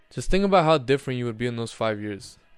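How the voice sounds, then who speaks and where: Music plays in the background behind a man. He has an American accent and a medium pitch. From United States. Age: 20s. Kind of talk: casual talk to camera. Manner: casual, conversational.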